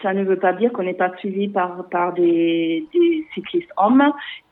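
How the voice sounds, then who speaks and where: A woman with a medium pitch speaks very slowly. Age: 40s. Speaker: cycling association founder. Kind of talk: interview. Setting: phone call. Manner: halting.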